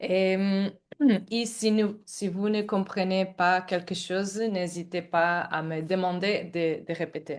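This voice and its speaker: A woman's fairly low voice in a Portuguese accent, very slow and with fairly even intonation, over a quiet background. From Portugal. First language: Portuguese (speaking French). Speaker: climate activist. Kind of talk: book presentation. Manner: halting, non-fluent French.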